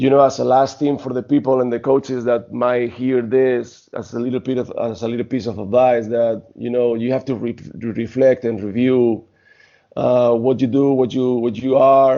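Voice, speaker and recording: A man's medium-pitched voice holds flat, monotone intonation while keeping a moderate tempo. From Spain. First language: Spanish. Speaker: basketball coach and former pro player. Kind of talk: interview. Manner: halting.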